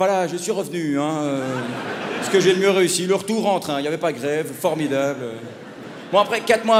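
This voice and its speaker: Amid noticeable background noise and audible room echo, a man with a Belgian accent talks in an animated tone at a fairly quick pace, with ordinary pitch variation. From Belgium. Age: 30s. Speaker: stand-up comedian. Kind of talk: stand-up. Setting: stage with audience.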